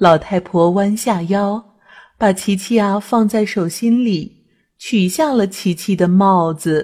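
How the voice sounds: Reading in a natural voice, ordinary pitch variation, quiet surroundings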